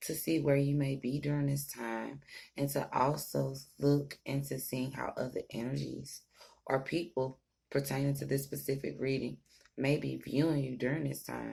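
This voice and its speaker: The pace is moderate. The speaker is soft-spoken. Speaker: tarot reader. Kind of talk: tarot reading.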